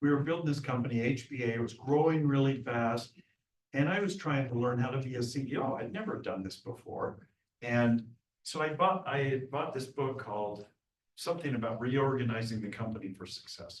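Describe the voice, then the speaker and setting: A man with a somewhat breathy, medium-pitched voice speaks at a fairly quick pace. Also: ordinary pitch variation. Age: 70s. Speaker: business founder and guest speaker. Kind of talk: motivational presentation.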